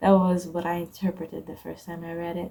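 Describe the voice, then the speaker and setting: A woman mumbles her words. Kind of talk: poetry reading and personal reflection. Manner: a bit mumbled.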